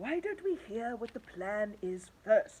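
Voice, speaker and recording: In a put-on character voice, someone speaks at a fairly slow pace with very wide pitch swings. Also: woman. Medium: read story.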